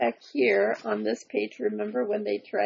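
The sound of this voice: The speaker reads in an unforced reading voice.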